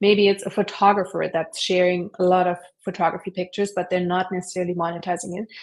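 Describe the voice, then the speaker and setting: A woman with a German accent talks at a very fast pace in a monotone, flat intonation. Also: medium pitch for a woman. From Germany. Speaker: online entrepreneur, affiliate marketer. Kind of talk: interview. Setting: live stream.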